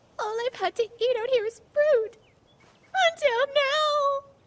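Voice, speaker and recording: The put-on character voice is extremely high. It moves at a fairly slow pace. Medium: fan dub. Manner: excitable.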